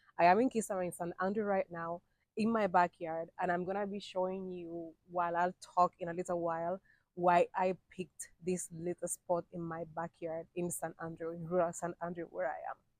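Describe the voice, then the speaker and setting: A woman speaks at a moderate pace in a fairly low pitch, her intonation monotone and flat. The sound is dry and close, with no echo. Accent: Spanish. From Cuba. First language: Spanish. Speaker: vlogger. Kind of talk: casual vlog talk to camera. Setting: outdoors in backyard.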